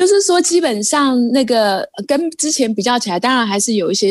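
Here a woman talks at a moderate pace. Her pitch varies an ordinary amount. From Taiwan. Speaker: Taiwanese living in India, Hindi learner. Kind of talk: casual chat. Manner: animated.

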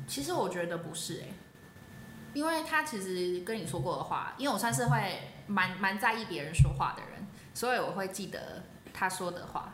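Amid noticeable background noise and audible room echo, a woman talks with very wide pitch swings and big swings in loudness. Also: medium pitch for a woman, moderate pace. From Taiwan, New Taipei. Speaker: former student, soldier. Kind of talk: casual interview chat.

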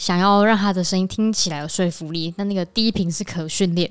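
At a moderate pace, a woman with a slight central Taiwanese accent speaks at a medium pitch with fairly even intonation, in a very clean recording with a silent background. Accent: slight central Taiwan. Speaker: podcast co-host. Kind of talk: casual chat.

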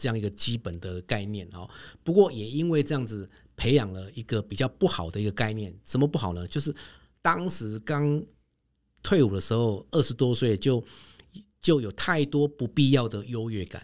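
With an ordinary speaking voice at medium pitch, a man talks at a moderate pace with lively intonation and big swings in loudness on a very clean recording with a silent background. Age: 50s. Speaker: travel company executive. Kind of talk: interview.

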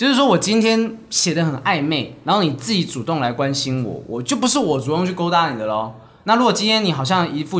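Music plays in the background as the speaker moves at a fairly quick pace with very wide pitch swings. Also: man. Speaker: stand-up comedian and podcast co-host. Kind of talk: casual chat.

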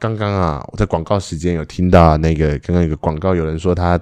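A man speaks in a very deep, low pitch with a dark, mellow tone. His intonation stays fairly even against a quiet background. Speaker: podcast co-host, improv performer. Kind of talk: casual chat; improvised role-play as youtubers. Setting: recording outside a rehearsal space, noisy background.

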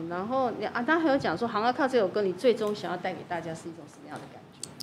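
Over noticeable background noise, a woman talks at a very fast pace in a medium-pitched voice. Her pitch swings very widely and her loudness rises and falls in big swings. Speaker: podcast host. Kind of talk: casual interview.

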